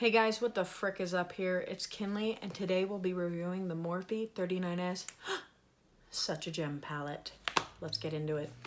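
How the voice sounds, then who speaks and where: The speech moves at a moderate pace with fairly even intonation amid noticeable background noise. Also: woman, medium pitch for a woman. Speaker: beauty vlogger. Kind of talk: makeup tutorial. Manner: casual.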